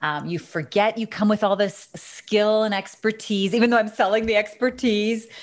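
Over a quiet background, a woman with a Canadian accent and an unremarkable speaking voice talks at a moderate pace and fairly high pitch, with fairly even intonation and hardly any pauses. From Canada. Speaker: business consultant and author. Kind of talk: interview.

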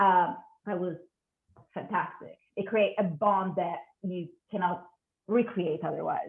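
Long, frequent pauses break up a woman's fairly slow speech, delivered at medium pitch with an Italian accent. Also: ordinary pitch variation. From Italy. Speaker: cinematographer. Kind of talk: interview. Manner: hesitant.

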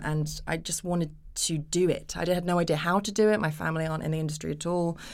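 With a British accent, a woman talks fairly quickly in a very deep, low pitch. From England. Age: 30s. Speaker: actress. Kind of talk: casual chat.

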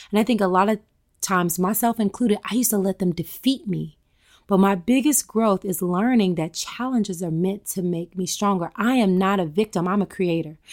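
A woman's ordinary speaking voice with an American accent, medium pitch and ordinary pitch variation at a moderate pace, dry and close with no echo on a very clean recording with a silent background. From US South, rural Tennessee. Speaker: yoga and wellness expert. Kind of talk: interview. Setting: at home.

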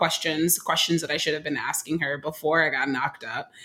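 Pitched fairly low, a woman talks with an American accent. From Oakland, California. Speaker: nonprofit executive director. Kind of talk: casual chat.

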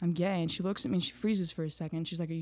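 The speaker is a woman whose voice sits fairly low in pitch. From Greece. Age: 20s. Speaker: social media creator. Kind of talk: casual interview.

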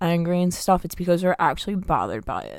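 A woman speaks very fast with an American accent. Her pitch sits fairly low. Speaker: podcast co-host. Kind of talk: casual chat. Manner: loud; fast, filler-heavy.

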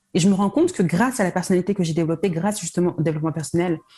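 This woman's fairly low, somewhat breathy voice has a dark, mellow tone and ordinary pitch variation. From France, Paris region. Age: 30s. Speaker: sales coach. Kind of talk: interview.

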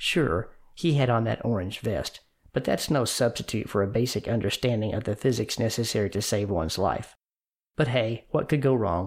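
An unremarkable speaking voice at a moderate pace, with very even loudness, ordinary pitch variation, and a very clean recording with a silent background. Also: man, medium pitch for a man. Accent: American. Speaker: podcast host and educator. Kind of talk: dramatic narration. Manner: measured, suspenseful storytelling.

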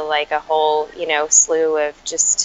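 A woman at a fairly slow pace with an American accent over noticeable background noise. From US Midwest, Chicago. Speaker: author and emotional intelligence educator. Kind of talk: podcast interview. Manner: frequent fillers like um and you know.

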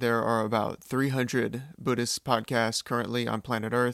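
A man with a Californian accent speaks at a medium pitch and a moderate pace, his intonation flat and monotone, in a dry, close sound with no echo. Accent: General American (Californian). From California, US. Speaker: podcast host. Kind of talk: solo podcast monologue. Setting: alone in a room. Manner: slightly awkward, with pauses and ums.

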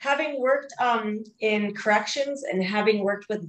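Speaking with a fairly high pitch and ordinary pitch variation, a woman keeps a moderate pace. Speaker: resiliency trainer. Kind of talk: interview. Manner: soothing.

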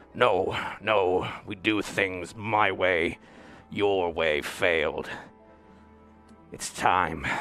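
With faint music in the background, a man speaks at a very slow pace in a very deep, low pitch, leaving long, frequent pauses. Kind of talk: melodramatic villain speech. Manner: angry, menacing.

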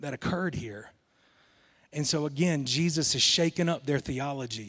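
Delivered at a moderate pace with ordinary pitch variation, the speech comes in a Southern US accent on a very clean recording with a silent background. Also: man. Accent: Southern US, somewhat thicker. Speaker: guest preacher. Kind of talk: sermon. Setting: church with congregation.

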